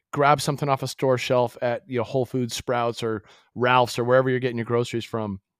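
Over a silent background in a very clean recording, a man speaks very fast at a medium pitch in a monotone, flat way. The sound is dry and close, with no echo. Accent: American. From Massachusetts. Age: 50s. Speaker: company founder. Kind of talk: casual chat. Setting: call.

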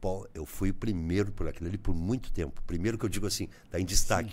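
Fairly quick man's voice, dark and mellow in tone with vocal fry, ordinary pitch variation and audible room echo. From southern Brazil, Rio Grande do Sul border region (Bagé). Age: 60s. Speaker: journalist and radio broadcaster. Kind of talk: casual interview.

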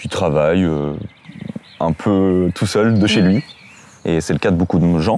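A man's very deep, low voice at a fairly slow pace, with long, frequent pauses and noticeable background noise. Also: ordinary pitch variation. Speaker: YouTube interviewer. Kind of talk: casual interview.

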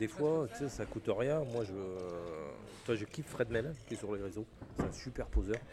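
At a fairly slow pace, a man with a fairly low pitch speaks with lively intonation over noticeable background noise. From Picardie, northern France. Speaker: refrigeration technician. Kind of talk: casual chat. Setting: trade show.

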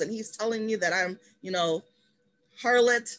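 A woman speaks in a plain, everyday voice at a moderate pace, her pitch medium with ordinary variation. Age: 30s. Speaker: podcast co-host. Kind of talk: casual chat.

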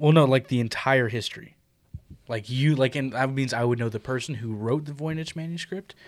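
A man at a fairly quick pace, medium pitch and a normal speaking voice. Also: ordinary pitch variation. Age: 20s. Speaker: podcast host. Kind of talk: casual chat.

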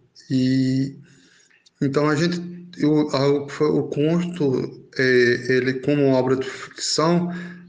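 Heard with audible room echo, a man talks at a fairly high pitch with fairly even intonation. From Belo Horizonte, then Brazilian Northeast sertão from age 12. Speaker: writer. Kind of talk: interview. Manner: halting.

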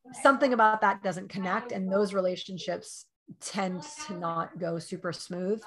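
A woman with a plain, everyday voice speaks at a moderate pace and medium pitch. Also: ordinary pitch variation. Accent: American. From New York. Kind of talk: casual interview.

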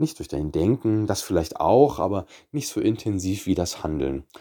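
A man speaks with a fairly low pitch, a dark, mellow tone and very wide pitch swings. The recording is very clean, with a silent background. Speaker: personal trainer and nutrition coach podcast host. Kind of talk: solo podcast monologue.

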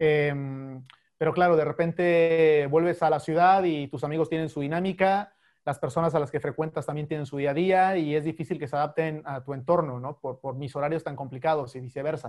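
A man with an ordinary speaking voice talks at a fairly quick pace with a fairly high pitch and fairly even intonation, recorded very cleanly against a silent background. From Mexico, Chiapas. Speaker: sports correspondent. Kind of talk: casual interview.

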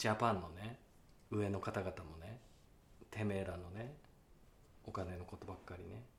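A man's very deep, low voice, somewhat breathy, at a moderate pace with long, frequent pauses and big swings in loudness. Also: ordinary pitch variation. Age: 30s. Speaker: actor and podcast co-host. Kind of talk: casual chat. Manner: animated.

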